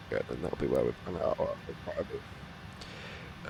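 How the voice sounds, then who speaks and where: A man talking at a fairly slow pace over noticeable background noise. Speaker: flight sim streamer. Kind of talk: gameplay commentary. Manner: hesitant, many fillers.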